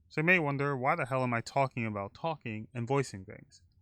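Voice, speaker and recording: This man mumbles at a fairly quick pace, his medium pitch showing ordinary variation. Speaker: streamer and video creator. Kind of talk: recorded monologue. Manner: soft-spoken; often told they mumble.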